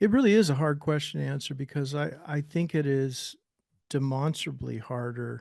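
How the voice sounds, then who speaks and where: A man with an American accent has an ordinary speaking voice, fairly high in pitch with ordinary variation. He talks at a moderate pace against a quiet background. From Northern California. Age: 60s. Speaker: musician and author. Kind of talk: interview. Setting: podcast.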